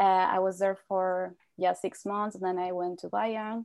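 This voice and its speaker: A woman with a Spanish accent speaks at a fairly slow pace and medium pitch, her intonation monotone and flat. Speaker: language exchange student. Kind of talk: casual interview.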